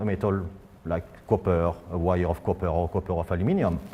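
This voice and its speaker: Here a man talks with a French accent. His pace is moderate. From France. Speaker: physicist. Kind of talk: public science lecture.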